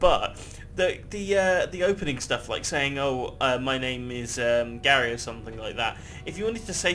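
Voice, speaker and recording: A man speaks with a British accent, and the room echo is audible. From Britain. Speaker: gaming YouTuber. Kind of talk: gameplay commentary. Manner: casual, rambling with fillers.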